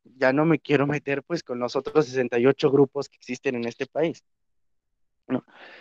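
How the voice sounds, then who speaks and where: In a dry, close sound with no echo, a man talks fairly quickly at medium pitch with fairly even intonation. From Mexico. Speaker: teacher, panel speaker. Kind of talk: panel discussion. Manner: hesitant, many fillers and self-corrections.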